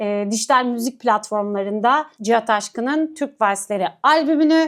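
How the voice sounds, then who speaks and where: On a very clean recording with a silent background, a woman with a fairly high pitch speaks at a moderate pace with lively intonation. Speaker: culture and arts show host. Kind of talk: event agenda presentation to camera. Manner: many filler hesitations.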